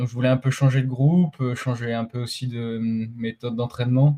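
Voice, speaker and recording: Somewhat breathy and medium in pitch, a man talks at a fairly quick pace in a dry, close recording with no echo. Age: 20s. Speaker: middle-distance runner. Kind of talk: podcast interview. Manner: halting, many fillers.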